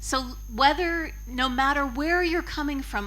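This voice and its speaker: Noticeable background noise and audible room echo surround this recording. A woman with an American accent talks at a fairly slow pace. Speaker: yoga teacher. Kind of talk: conference talk.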